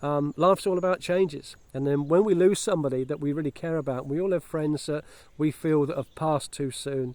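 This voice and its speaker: This man's voice sits fairly high in pitch, and its pitch moves in an ordinary way. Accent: English. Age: 60s. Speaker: vlogger. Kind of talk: casual vlog monologue. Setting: outdoors. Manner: halting, many fillers and restarts.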